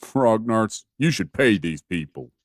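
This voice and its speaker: Putting on a character voice, a man speaks at a fairly slow pace with a medium pitch. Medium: video game. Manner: gruff.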